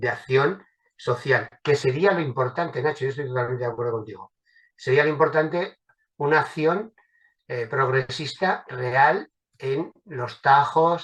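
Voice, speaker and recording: A man at a fairly high pitch, fairly slow in pace, with ordinary pitch variation. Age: 60s. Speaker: political activist. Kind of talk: panel discussion. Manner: hesitant, with many fillers.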